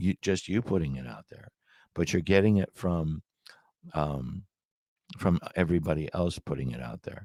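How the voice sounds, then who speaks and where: The delivery has lively intonation at a moderate pace. The recording is very clean, with a silent background. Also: man. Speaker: small business owner. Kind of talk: sales pitch. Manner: halting, many restarts.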